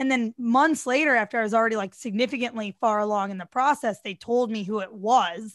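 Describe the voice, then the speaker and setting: A woman talks at a fairly quick pace in a plain, everyday voice with an American accent. Her pitch variation is ordinary, and the background is quiet. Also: fairly high pitch for a woman, hardly any pauses. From US Midwest. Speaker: DJ and TV personality. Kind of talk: casual interview chat.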